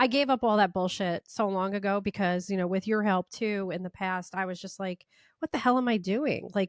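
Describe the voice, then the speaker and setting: Against a quiet background, a woman speaks at medium pitch. Her pitch varies in an ordinary way. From Italian-American. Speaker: podcast host and chef. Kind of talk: casual interview chat. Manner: loud, expressive.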